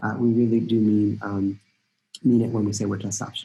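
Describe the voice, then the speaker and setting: A somewhat breathy man at a very fast pace. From Costa Rica. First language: Spanish. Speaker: college admissions dean. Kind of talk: informational webinar talk. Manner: hesitant, many fillers.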